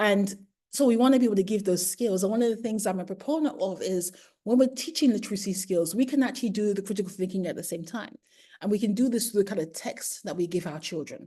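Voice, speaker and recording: This woman talks at a very fast pace, her medium pitch showing ordinary variation. Her tone is dark and mellow, and somewhat breathy. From UK. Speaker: primary educator. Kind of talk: webinar lecture.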